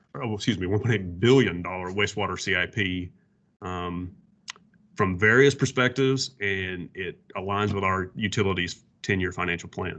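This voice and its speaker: A man with a Southern US accent. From US South. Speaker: water utility planner presenting. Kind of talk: workshop presentation.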